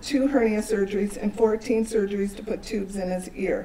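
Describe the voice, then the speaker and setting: There is audible room echo and noticeable background noise as a woman speaks at a fairly high pitch. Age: 60s. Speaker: social worker and parent advocate. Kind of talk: testimony. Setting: town hall meeting with audience. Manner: formal.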